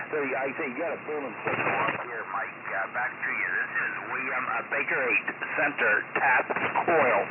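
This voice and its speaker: Noticeable background noise and audible room echo around a man speaking at a moderate speed. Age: 70s. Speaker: ham radio operator. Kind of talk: radio contact. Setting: radio transmission.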